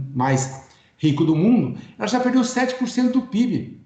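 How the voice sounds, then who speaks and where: A man's pitch swings very widely, with audible room echo around his voice. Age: 60s. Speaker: economist and cooperative consultant. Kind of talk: webinar lecture. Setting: online webinar.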